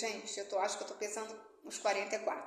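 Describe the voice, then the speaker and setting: The voice carries an audible echo from the room. Background noise can be noticed as well. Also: woman. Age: 60s. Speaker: motivational YouTuber and author. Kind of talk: casual personal vlog talk. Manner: conversational, many fillers.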